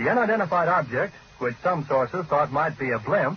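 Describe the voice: A man with a fairly high pitch speaks at a moderate pace.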